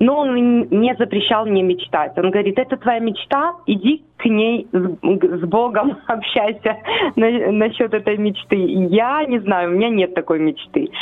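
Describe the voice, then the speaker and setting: A woman with a normal speaking voice and fairly high pitch talks at a fairly slow pace, her intonation lively and her loudness very even. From Ukraine, Chernihiv. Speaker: foster mother of ten, church minister. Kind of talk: radio interview. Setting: phone call.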